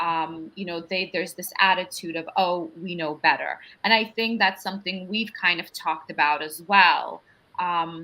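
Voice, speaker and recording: On a very clean recording with a silent background, a woman with a Russian accent speaks at a moderate pace and fairly low pitch. Her tone is bright and sharp, her intonation fairly even, with big swings in loudness. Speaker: panel moderator. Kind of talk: panel discussion.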